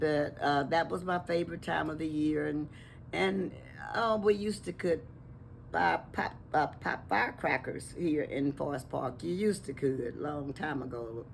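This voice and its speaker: A woman talks in a very deep, low voice. Vocal fry runs through her speech. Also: lively intonation, fairly slow pace. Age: 80s+. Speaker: longtime resident. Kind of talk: interview.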